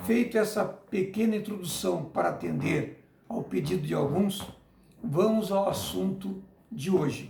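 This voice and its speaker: A man speaks very slowly. Audible room echo surrounds his voice. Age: 60s. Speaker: teacher. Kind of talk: lecture.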